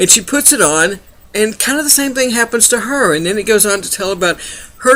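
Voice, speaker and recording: The voice is raised and projected. It belongs to a man. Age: 60s. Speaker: book reviewer. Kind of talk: book review monologue. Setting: home webcam recording at night. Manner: casual, hesitant with fillers.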